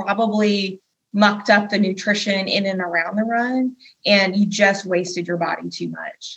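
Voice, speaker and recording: A woman speaks at a moderate pace, medium in pitch and somewhat breathy. Her intonation is monotone and flat. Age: 40s. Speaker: nutrition coach. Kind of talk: interview.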